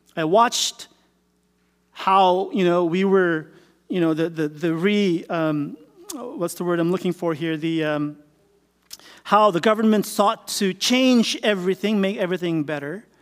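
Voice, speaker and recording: The speaker goes at a fairly slow pace with long, frequent pauses and ordinary pitch variation. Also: man, high pitch for a man. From Philippines. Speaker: pastor. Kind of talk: sermon. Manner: halting.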